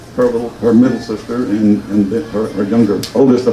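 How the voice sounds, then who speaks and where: A man speaks at a very fast pace with ordinary pitch variation. Audible room echo and noticeable background noise fill the recording. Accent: Southern US. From US South, rural Georgia. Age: 70s. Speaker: local businessman speaking at reunion. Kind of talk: personal speech to audience. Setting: luncheon with audience. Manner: halting, with false starts.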